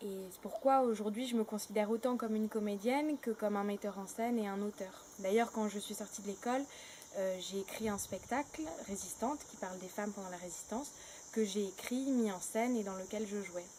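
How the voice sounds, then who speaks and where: Against noticeable background noise, a woman speaks at a fairly quick pace and fairly high pitch. Her pitch varies in an ordinary way, while her loudness swings a lot. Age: 20s. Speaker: actress and theatre director. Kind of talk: interview monologue. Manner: halting, many hesitations.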